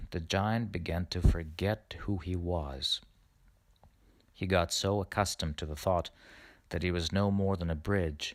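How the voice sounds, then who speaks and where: A man's very deep, low voice at a fairly slow pace, with fairly even intonation and long, frequent pauses. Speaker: storyteller. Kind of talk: fairy tale reading.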